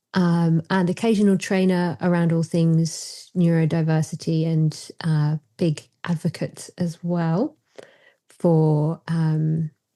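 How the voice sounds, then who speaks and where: A woman speaks very slowly in a fairly low, dark, mellow voice. Her intonation is monotone and flat, and her loudness stays very even. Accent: British. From Britain. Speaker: psychotherapist. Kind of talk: casual chat.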